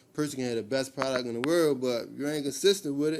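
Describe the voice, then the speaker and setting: With a Baltimore accent, a man with a fairly high pitch talks at a fairly quick pace in fairly even intonation, over noticeable background noise. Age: 30s. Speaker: clothing brand owner. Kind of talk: casual interview. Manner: casual, repetitive filler phrases.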